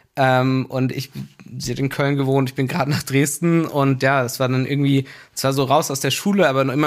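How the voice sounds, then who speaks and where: A man's medium-pitched, unremarkable speaking voice at a moderate pace, on a very clean recording with a silent background. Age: 30s. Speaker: business executive. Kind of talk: casual interview. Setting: studio in a basement.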